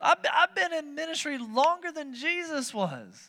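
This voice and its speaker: A man's raised, projected voice carries a bright, sharp tone and lively intonation at a fairly slow pace. The recording is very clean with a silent background. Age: 30s. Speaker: pastor. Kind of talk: sermon. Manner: animated.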